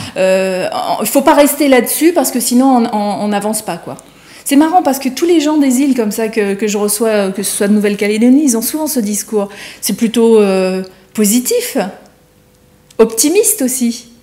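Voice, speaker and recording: A woman with a dark, mellow tone and a fairly high pitch speaks with lively intonation. She keeps a moderate pace with long, frequent pauses. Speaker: TV morning show host. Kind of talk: TV interview questions.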